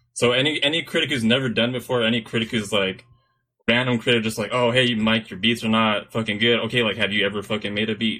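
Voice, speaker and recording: A man speaks in an American accent at a medium pitch. His pace is very fast. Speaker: podcast host. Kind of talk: casual chat.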